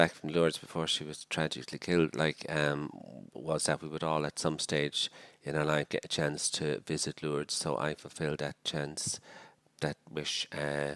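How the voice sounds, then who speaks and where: A man with a Dublin accent, very deep and low in pitch, with big swings in loudness in a dry, close sound with no echo. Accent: Irish, Dublin. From Ireland, Dublin. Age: 60s. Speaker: missionary priest. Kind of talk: podcast interview. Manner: hesitant, with many fillers.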